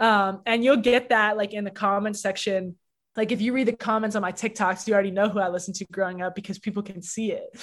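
A woman with a Canadian accent at medium pitch, very fast and with monotone, flat intonation. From Canada, Toronto. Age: 20s. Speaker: rapper. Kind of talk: interview.

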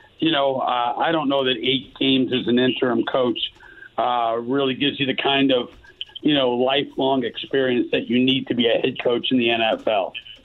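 Over noticeable background noise, a man with a medium pitch speaks at a moderate pace in a monotone, flat intonation and very even loudness. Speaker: football analyst. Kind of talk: casual chat.

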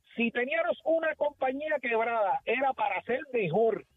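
With music behind him, a man talks in a lively intonation. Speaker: caller. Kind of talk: call-in rant.

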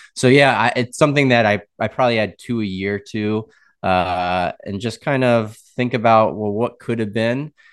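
In a plain, everyday voice with an American accent, a man speaks at a moderate pace with medium pitch and ordinary pitch variation against a quiet background. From US Midwest, Wisconsin. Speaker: logo designer. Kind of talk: interview.

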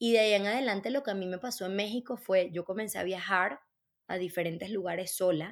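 In a very clean recording with a silent background, a woman with a Venezuelan accent speaks at a medium pitch with ordinary pitch variation. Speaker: entrepreneur. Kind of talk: casual chat.

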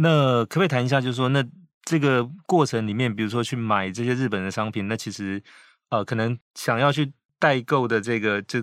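A man with an ordinary speaking voice talks at a fairly quick pace. The recording is very clean, dry and close, with a silent background and no echo. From Taiwan. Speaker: podcast host, magazine editor-in-chief. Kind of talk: interview.

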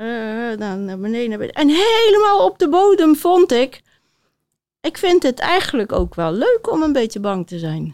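A woman speaks fairly slowly at a high pitch, with very wide pitch swings and big swings in loudness. The recording is dry and close with no echo, very clean, with a silent background. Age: 60s. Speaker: author and body coach. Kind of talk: interview before live audience. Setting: theater stage with audience.

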